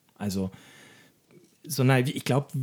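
A dark, mellow, somewhat breathy voice at a fairly quick pace, with ordinary pitch variation. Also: man. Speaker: podcast co-host, cancer patient. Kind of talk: casual chat. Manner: halting.

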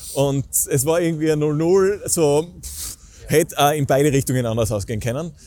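Fairly quick in pace, a man talks at a fairly high pitch. His pitch variation is ordinary. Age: 20s. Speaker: stadium announcer and event host. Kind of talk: casual interview.

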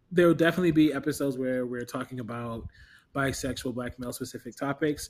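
In a very clean recording with a silent background, a man of medium pitch speaks very fast with fairly even intonation and big swings in loudness. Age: 30s. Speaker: podcast co-host. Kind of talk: casual chat.

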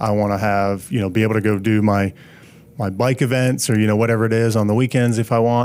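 A man with an American accent speaks very fast at a fairly low pitch. His loudness stays very even, and his intonation is fairly even. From Pennsylvania. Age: 30s. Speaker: business consultant and endurance athlete. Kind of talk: casual interview.

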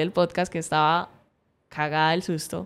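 At a fairly slow pace, a woman speaks with a fairly low pitch. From Cali, Colombia. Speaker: podcast host. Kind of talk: solo reflective monologue. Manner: hesitant, many fillers and repetitions.

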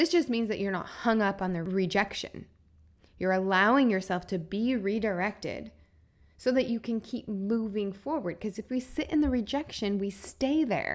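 In a very clean recording with a silent background, a woman uses an ordinary speaking voice at medium pitch, moving at a moderate pace with lively intonation. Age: 40s. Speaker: health and wellness coach. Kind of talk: solo podcast monologue. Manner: warm, earnest.

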